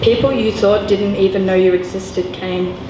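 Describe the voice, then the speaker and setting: Noticeable background noise sits behind a woman speaking at a moderate pace and medium pitch with monotone, flat intonation. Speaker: spoken word poet performing a poem. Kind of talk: slam poetry performance. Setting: live at a gallery venue.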